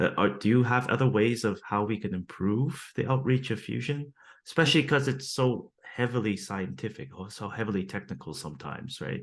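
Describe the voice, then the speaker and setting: A man's medium-pitched voice with vocal fry and lively intonation, at a fairly quick pace with hardly any pauses. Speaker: podcast host. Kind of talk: podcast interview host.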